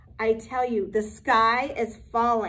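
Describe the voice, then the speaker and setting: A woman's put-on character voice, fairly high-pitched and fairly slow. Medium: read story. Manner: fretful.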